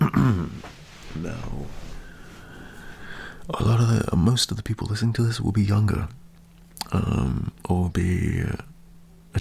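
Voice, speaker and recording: Noticeable background noise sits under a man with a fairly low pitch and relaxed tone. He talks at a very slow pace with long, frequent pauses. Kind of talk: motivational talk to camera, asmr. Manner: relaxed, reassuring, conversational.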